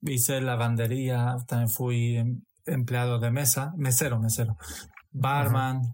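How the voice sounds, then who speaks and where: A somewhat breathy male voice at a moderate pace, with fairly even intonation. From Portugal, Romanian-born. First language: Romanian and Hungarian (speaking Spanish). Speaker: former hospitality worker. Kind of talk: casual chat.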